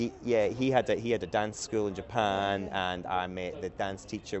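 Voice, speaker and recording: In a Scottish accent, a man talks at a fairly low pitch with ordinary pitch variation. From Scotland, island off the west coast. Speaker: company CEO, podcast guest. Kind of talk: casual interview conversation. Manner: halting, many restarts.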